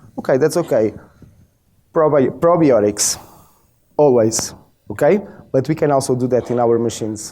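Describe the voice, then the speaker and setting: A man talks with a dark, mellow tone and ordinary pitch variation. His pauses are long and frequent. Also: medium pitch for a man, moderate pace. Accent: Portuguese. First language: Portuguese. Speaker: biofeedback practitioner. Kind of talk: presentation.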